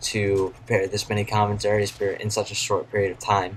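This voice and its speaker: Quiet, a man at a fairly low pitch and a fairly quick pace. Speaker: gaming YouTuber. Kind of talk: gameplay commentary. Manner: quiet, subdued.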